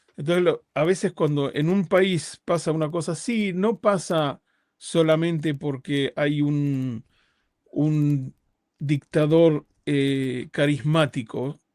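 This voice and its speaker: On a very clean recording with a silent background, a man speaks at a very slow pace with a fairly high pitch and ordinary pitch variation. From Uruguay. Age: 50s. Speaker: rabbi. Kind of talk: interview conversation. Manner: halting, with repetitions.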